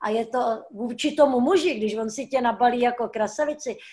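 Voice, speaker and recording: Here is a woman with a plain, everyday voice, fairly high in pitch. She keeps a moderate pace and ordinary pitch variation. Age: 60s. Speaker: stuntwoman. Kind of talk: casual chat. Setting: video call.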